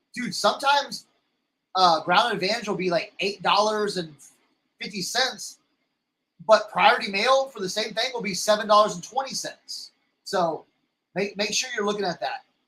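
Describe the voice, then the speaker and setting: Raised, projected male voice with an American accent, high in pitch and bright, sharp in tone, at a fairly quick pace with ordinary pitch variation and long, frequent pauses. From Texas. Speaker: reseller livestream host. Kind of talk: casual livestream chat. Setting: live stream. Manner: halting, many repetitions.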